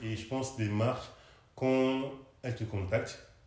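A man talks at a fairly slow pace and a medium pitch, his intonation fairly even. Noticeable background noise and audible room echo fill the recording. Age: 30s. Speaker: content creator. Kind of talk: interview.

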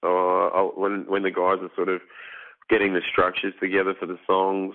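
In an Australian accent, a man speaks at a moderate pace with monotone, flat intonation and a fairly low pitch. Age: 30s. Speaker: metal band vocalist. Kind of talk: casual interview.

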